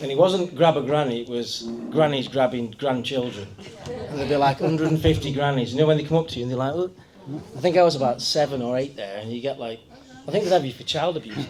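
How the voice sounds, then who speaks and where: A man with a North Staffordshire accent, fairly high pitch, ordinary pitch variation, big swings in loudness and a very fast pace, over noticeable background noise. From Kidsgrove area, Staffordshire, England. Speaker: local resident sharing memories. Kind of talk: casual talk to audience.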